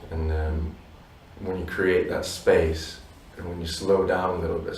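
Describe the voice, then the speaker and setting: A man speaks fairly slowly in a very deep, low voice. Audible room echo and noticeable background noise surround him. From Polish family abroad, not Poland. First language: Polish. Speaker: musician in a duo. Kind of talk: interview.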